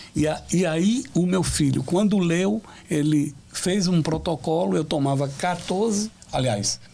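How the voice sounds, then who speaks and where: Very slow and very even in loudness, a man's fairly high-pitched voice carries a dark, mellow tone and lively intonation. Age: 60s. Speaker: pastor. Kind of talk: testimony. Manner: halting.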